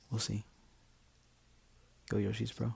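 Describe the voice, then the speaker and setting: Quiet and whispering, a man speaks at a moderate pace. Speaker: game coach. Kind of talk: video game match commentary. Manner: whispered; quiet, hushed.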